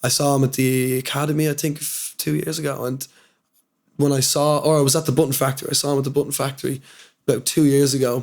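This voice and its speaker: A man's very fast, fairly high voice in a Dublin accent, flat and monotone. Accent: Dublin Irish. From Dublin, Ireland. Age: young. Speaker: hip-hop artist. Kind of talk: interview answer. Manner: casual.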